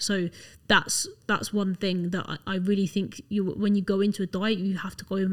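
A woman's voice at medium pitch. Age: 20s. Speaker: fitness enthusiast. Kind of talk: casual chat.

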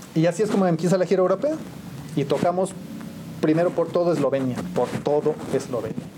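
A man with a high pitch talks at a fairly quick pace, breaking it with long, frequent pauses. His pitch varies in an ordinary way, and noticeable background noise is present. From Mexico, San Juan del Río, Querétaro. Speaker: musician and photographer. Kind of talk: interview storytelling.

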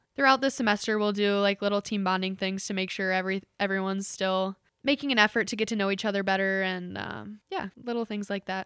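Very fast and with hardly any pauses, a woman with a Midwestern American accent talks at medium pitch in a dry, close sound with no echo. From Ohio, Cincinnati area. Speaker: college volleyball player. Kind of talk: interview.

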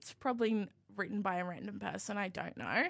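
A woman talks at a fairly quick pace in a medium pitch. Her tone is bright and sharp. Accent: Australian. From Australia, New South Wales north coast. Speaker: student radio producer. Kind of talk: casual chat.

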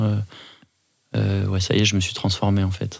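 A man speaks at a fairly quick pace. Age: 40s. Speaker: podcast guest, father of two. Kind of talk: personal interview. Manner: halting.

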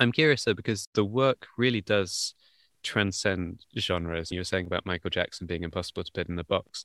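A man talks in an ordinary speaking voice at a fairly quick pace and fairly low pitch, with ordinary pitch variation, the sound dry and close with no echo. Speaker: podcast host. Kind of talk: interview conversation. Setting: video call.

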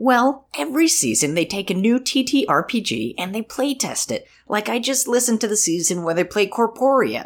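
Hardly pausing, a woman speaks at a moderate pace with a fairly high pitch and lively intonation. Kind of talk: comic radio-ad sketch.

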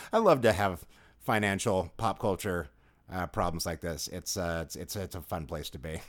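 On a very clean recording with a silent background, a man with a very deep, low voice speaks in an animated tone at a moderate pace with ordinary pitch variation. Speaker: video game critic and podcast co-host. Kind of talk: casual podcast chat. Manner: animated, jokey, laughs often.

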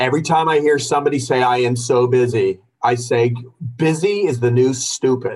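Somewhat breathy, the voice keeps very even loudness, ordinary pitch variation and a moderate pace. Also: man, medium pitch for a man. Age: 40s. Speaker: accountant, firm owner. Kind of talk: interview. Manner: animated.

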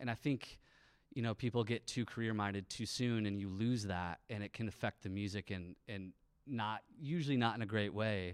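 With a Midwestern American accent, a man talks at a moderate pace in a fairly low voice on a very clean recording with a silent background. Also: ordinary pitch variation. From Michigan, near Lansing (St. Johns). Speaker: touring band musician. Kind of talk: interview. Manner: halting.

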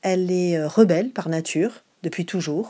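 A woman's dark, mellow tone, fairly low in pitch with ordinary variation, at a fairly slow pace, on a very clean recording with a silent background. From Marseille, southern France. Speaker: theatre director and actress. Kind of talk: interview answer.

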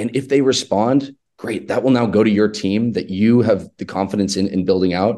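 This man speaks at a medium pitch with a dark, mellow tone. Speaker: marketing agency salesperson. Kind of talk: casual podcast interview. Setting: small office room. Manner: loud talker.

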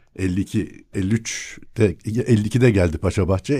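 Somewhat breathy and dark and mellow in tone, a man's fairly low voice shows ordinary pitch variation. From Istanbul, Princes' Islands. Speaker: academic and local historian. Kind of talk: casual chat. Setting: studio.

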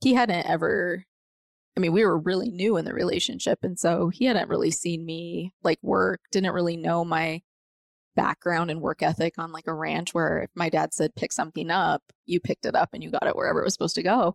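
Recorded with a dry, close sound and no echo, the speaker talks at a fairly quick pace with an American accent. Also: woman. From Colorado (Montrose). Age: 40s. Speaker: author and former teacher. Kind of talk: casual chat.

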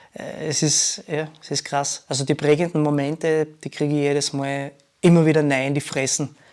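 The man speaking has a fairly high pitch. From Austria, Graz. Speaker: dancer and DJ. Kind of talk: casual chat.

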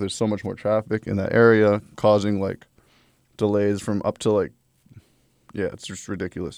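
A man's fairly low voice with a New York accent, very cleanly recorded against a silent background. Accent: New York City. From Brooklyn, New York City. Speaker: podcast host. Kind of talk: casual monologue; scripted narration.

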